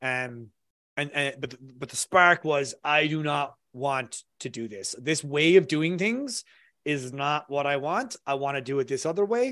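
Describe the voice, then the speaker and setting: Over a quiet background, a man with an Irish accent speaks at a fairly slow pace, his fairly high voice bright and sharp in tone. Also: ordinary pitch variation. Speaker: copywriter, former engineer. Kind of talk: interview.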